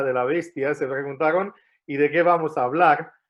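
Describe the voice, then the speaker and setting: This man's voice sits fairly high. He speaks at a moderate pace with ordinary pitch variation. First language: not Spanish; learned it in Argentina (speaking Spanish). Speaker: guest preacher. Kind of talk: sermon. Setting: church. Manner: hesitant, many fillers and restarts.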